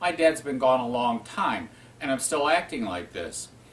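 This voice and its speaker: Moderate pace over noticeable background noise. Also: man. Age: 60s. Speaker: spiritual teacher. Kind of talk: talk on spiritual self-help.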